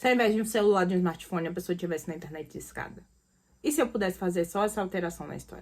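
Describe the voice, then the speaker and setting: The voice is animated, with lively intonation. The pace is very fast. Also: woman. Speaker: creative writing teacher. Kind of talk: online lecture.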